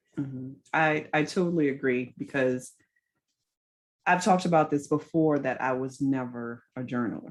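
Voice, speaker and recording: The woman's voice is very deep and low. She speaks at a moderate pace. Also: ordinary pitch variation. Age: 40s. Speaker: podcast host. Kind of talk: interview.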